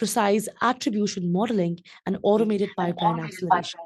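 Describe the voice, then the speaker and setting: A woman has an ordinary speaking voice of medium pitch and fairly even intonation. The background is quiet. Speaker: podcast host. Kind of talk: podcast interview host.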